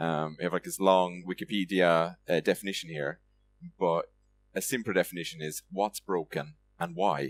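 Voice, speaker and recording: A man with an Irish accent speaks in a very deep, low pitch with fairly even intonation. His pace is moderate, in a dry, close sound with no echo. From Ireland, Limerick. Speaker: software developer, conference speaker. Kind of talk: conference talk. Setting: stage with audience. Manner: hesitant, many fillers.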